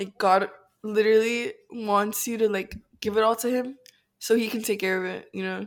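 A woman with fairly high pitch speaks in a monotone, flat intonation at a moderate pace. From Miami. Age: young. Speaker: podcast co-host. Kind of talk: casual chat.

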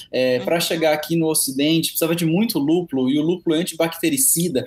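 The man's voice is fairly high for a man, with ordinary pitch variation. He has an unremarkable speaking voice. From interior of São Paulo state, Presidente Prudente. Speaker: cachaça specialist and sommelier. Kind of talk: podcast interview.

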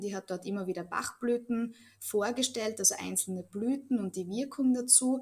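Speaking at a moderate pace, a woman uses a plain, everyday voice with fairly high pitch and ordinary pitch variation. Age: 30s. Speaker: Bach flower remedy practitioner. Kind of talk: interview.

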